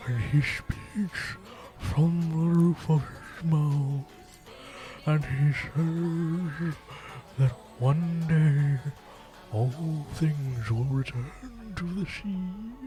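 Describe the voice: A put-on character voice at a low-to-middle pitch speaks at a very slow pace over clear background noise.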